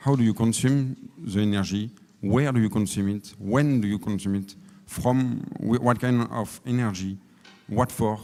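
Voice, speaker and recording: A man speaks in a French accent at a medium pitch, moving at a moderate pace with fairly even intonation. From France. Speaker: energy efficiency consultant. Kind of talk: conference panel talk. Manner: halting.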